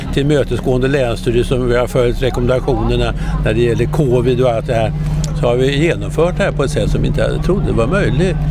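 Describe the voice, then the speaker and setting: Over noticeable background noise, a man speaks at a fairly quick pace, medium in pitch, with ordinary pitch variation. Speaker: event organizer. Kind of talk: interview. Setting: outdoors at an event.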